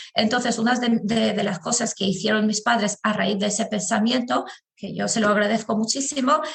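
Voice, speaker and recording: Fairly quick delivery with fairly even intonation. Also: woman, fairly high pitch for a woman. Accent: Albanian. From Albania. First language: Albanian (speaking Spanish). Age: 30s. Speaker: podcast guest. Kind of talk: interview conversation.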